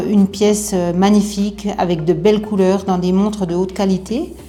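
A woman talks at a moderate pace in a medium pitch, her intonation flat and monotone, with noticeable background noise behind her. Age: 50s. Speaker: electroplater. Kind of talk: testimony.

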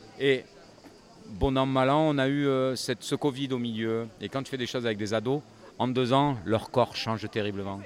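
Using a normal speaking voice, a man talks at a fairly slow pace. His pitch is medium and his intonation fairly even. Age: 50s. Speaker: singer-songwriter. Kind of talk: casual interview. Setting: festival village.

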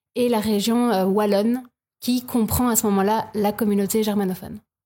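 In a dark, mellow tone, a woman talks at a moderate pace. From Belgium, province of Luxembourg. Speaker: improviser. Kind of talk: casual interview.

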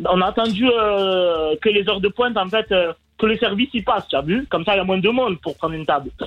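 At a very fast pace, a man with a slight Marseille accent talks at a high pitch with ordinary pitch variation. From Marseille, France. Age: 30s. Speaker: caller. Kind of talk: casual storytelling. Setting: phone call.

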